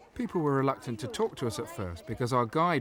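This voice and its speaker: A man talks very rapidly, his intonation lively, with noticeable noise behind him. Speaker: travel documentary presenter. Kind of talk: documentary voice-over narration.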